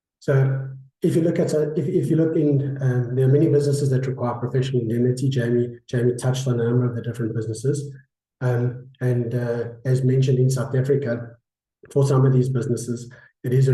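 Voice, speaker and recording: Talking at a very fast pace, a man sounds somewhat breathy and monotone, his flat delivery carrying audible room echo. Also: medium pitch for a man. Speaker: insurance broker. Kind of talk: webinar presentation. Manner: halting, many fillers.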